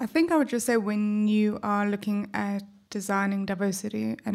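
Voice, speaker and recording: A woman with a South African accent, medium pitch, somewhat breathy, with fairly even intonation and a moderate pace, on a very clean recording with a silent background. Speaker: panelist. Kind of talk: live panel discussion. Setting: stage with audience.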